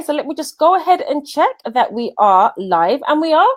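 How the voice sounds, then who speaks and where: A high-pitched female voice in a Birmingham accent, with very wide pitch swings. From England, Birmingham. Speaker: business coach. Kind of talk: live stream interview. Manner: animated.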